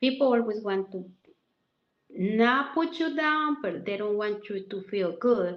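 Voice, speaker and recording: A woman with a fairly high voice and a strong Mexican accent speaks fairly slowly with lively intonation. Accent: heavy Mexican Spanish. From Mexico. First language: Spanish. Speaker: massage therapist. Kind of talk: interview.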